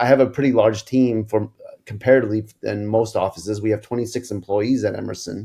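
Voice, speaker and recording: A man's fairly low, dark, mellow voice at a very fast pace, with fairly even intonation. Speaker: dentist and practice owner. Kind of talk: podcast interview. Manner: occasional stutter when overstimulated.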